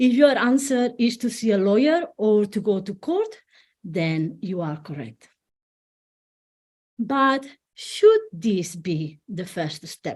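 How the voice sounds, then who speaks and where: A very slow woman's voice in a Spanish accent, with very wide pitch swings. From Spain. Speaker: family law solicitor and divorce coach. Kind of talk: online presentation. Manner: halting with some self-corrections.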